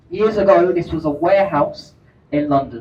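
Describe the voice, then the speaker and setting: Spoken at a fairly slow pace, the clip has music in the background and audible room echo. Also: man. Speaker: boat tour guide. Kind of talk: live tour commentary. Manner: deliberately slow.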